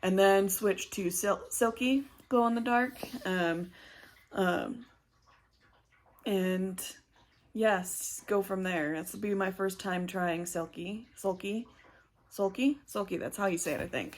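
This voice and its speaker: Pausing long and often, a woman talks at a very slow pace in a medium pitch. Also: ordinary pitch variation. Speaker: cross stitch vlogger. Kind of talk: casual craft vlog. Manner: halting, many fillers.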